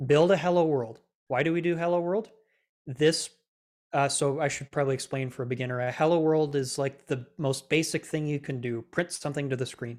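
A man with an unremarkable speaking voice talks at a fairly quick pace and a fairly high pitch with ordinary pitch variation, on a very clean recording with a silent background. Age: 20s. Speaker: self-taught Android developer and teacher. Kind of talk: interview.

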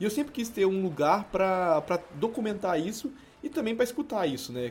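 Using very wide pitch swings, a man talks at a fairly quick pace in a high pitch. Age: 20s. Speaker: podcast co-host. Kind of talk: casual chat.

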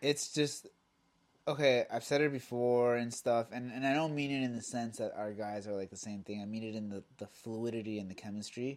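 Fairly quick in pace, a man speaks at a medium pitch with fairly even intonation. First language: Spanish. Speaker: soccer podcast co-host. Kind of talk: casual chat.

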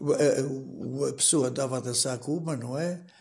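A man's fairly high voice with a dark, mellow tone and vocal fry, at a moderate pace with ordinary pitch variation. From Portugal, Canas de Senhorim (Viseu). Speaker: retired villager sharing memories. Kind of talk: oral history interview.

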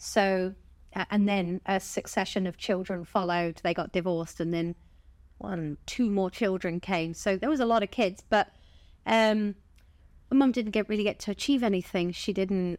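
On a very clean recording with a silent background, a woman with a Southern English accent speaks at medium pitch and a fairly slow pace, her intonation fairly even. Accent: southern English, sounds posh. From Bournemouth, southern England. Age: 40s. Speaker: stand-up comedian. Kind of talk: casual interview chat, storytelling.

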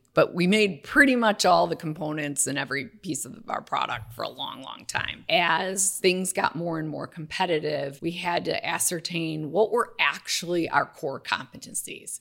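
A woman with an American accent speaks at a moderate pace and fairly low pitch in an unremarkable speaking voice. Her loudness swings widely. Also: lively intonation. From Wisconsin (Waukesha, near Milwaukee). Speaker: business development executive, former manufacturer. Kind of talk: casual interview.

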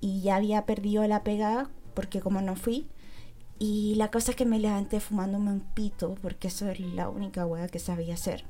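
A woman speaks at a moderate pace with a dark, mellow tone and a somewhat breathy quality. Her intonation stays fairly even. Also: medium pitch for a woman. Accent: Chilean. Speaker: podcaster. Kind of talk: casual chat.

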